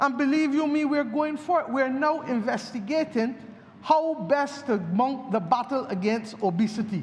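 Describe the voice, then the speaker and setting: A man speaks at an extremely high pitch with ordinary pitch variation over noticeable background noise. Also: moderate pace. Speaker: politician. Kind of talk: parliamentary budget speech. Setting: parliament chamber.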